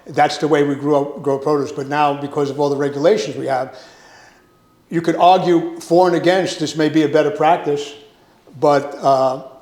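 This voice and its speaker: A man with a New York accent and fairly high pitch speaks at a moderate pace with fairly even intonation, amid noticeable background noise. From Brooklyn, New York. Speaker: produce industry consultant. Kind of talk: casual interview chat.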